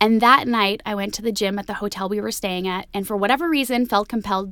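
A woman talks in a normal speaking voice with a Canadian accent. Her pitch is medium with ordinary variation, and her pace is fairly quick. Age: 30s. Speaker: entertainment reporter and podcast host. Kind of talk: casual interview chat; podcast monologue. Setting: studio (meditation space in Toronto).

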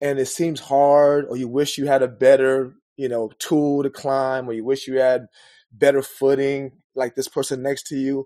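This is a man's voice with a fairly high pitch. The tone is dark and mellow. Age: 40s. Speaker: coach. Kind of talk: interview conversation.

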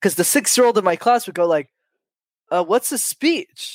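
A man talks with lively intonation at a moderate pace. The recording is very clean, with a silent background and a dry, close sound with no echo. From Quebec, Montreal suburbs. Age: 20s. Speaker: public speaking coach. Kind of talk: interview.

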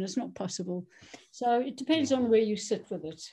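Against a quiet background, a woman talks at a fairly quick pace, her fairly high, somewhat breathy voice dark and mellow in tone, with ordinary pitch variation. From South Africa. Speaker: doctor and trauma therapist. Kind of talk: interview.

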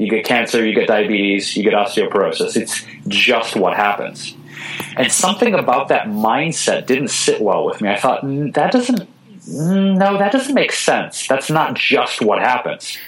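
A man with an American accent talks fairly slowly at very even loudness, with noticeable background noise. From Detroit, Michigan. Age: 30s. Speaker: vegan chef and author. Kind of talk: interview. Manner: animated.

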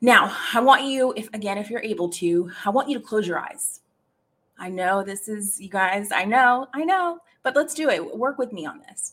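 An unremarkable speaking voice with lively intonation and big swings in loudness. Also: woman, fairly high pitch for a woman. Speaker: live podcast host and career coach. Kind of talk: guided meditation. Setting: live stream with chat. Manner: coaxing, inviting, slow and rhythmic, repeating the cues.

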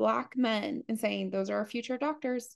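Speaking with an American accent, a woman has a fairly high pitch. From US, partly Appalachia. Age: 40s. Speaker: leadership coach. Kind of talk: interview conversation.

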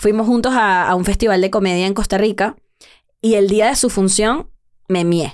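This woman has an unremarkable speaking voice with medium pitch, ordinary pitch variation and very even loudness at a moderate pace. The recording is very clean, with a silent background. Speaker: comedian. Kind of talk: casual chat. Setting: studio.

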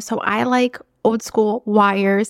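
A woman speaks with a non-native accent at a fairly high pitch. The sound is dry and close, with no echo. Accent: non-native accent, noticeable. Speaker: podcast host and coach. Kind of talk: casual monologue, motivational talk. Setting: office, echoey room. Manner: animated, conversational; unpolished, unedited.

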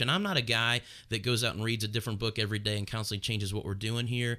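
A man with an American accent at a very fast pace, bright and sharp in tone, fairly even in intonation, on a very clean recording with a silent background. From Northern Kentucky, US. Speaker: pastor. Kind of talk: casual chat. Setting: studio, streamed live on video.

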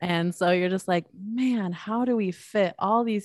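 On a very clean recording with a silent background, a woman has an ordinary speaking voice, talking at a moderate pace with ordinary pitch variation. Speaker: photographer. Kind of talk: casual conversation.

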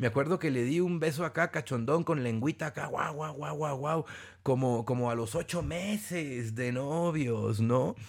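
This man speaks with a Mexican accent in a fairly high pitch and an animated tone. His pace is fairly slow, and his pitch variation is ordinary. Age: 40s. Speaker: podcast host and personal development speaker. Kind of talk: casual monologue.

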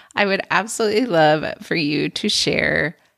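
A woman with an ordinary speaking voice at a fairly slow pace, lively in intonation, in a dry, close sound with no echo and a very clean, silent background. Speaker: podcast host and preschool teacher. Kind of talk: solo podcast tutorial.

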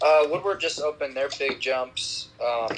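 A man keeps a moderate pace as noticeable noise fills the background. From Russia-born, raised in Jackson, Wyoming, US. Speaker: skier, snowcat driver. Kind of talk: casual interview.

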